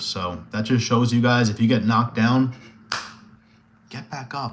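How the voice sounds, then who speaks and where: A man shouts loudly in an animated tone. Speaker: MMA streamer. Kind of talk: casual live stream chat with viewers. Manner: loud, yelling.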